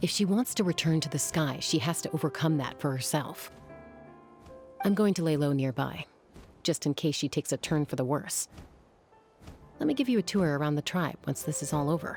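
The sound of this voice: Using a put-on character voice, a woman talks at a moderate pace with lively intonation, a low pitch, a slightly mellow tone and a slightly husky edge, leaving long, frequent pauses while faint music plays in the background.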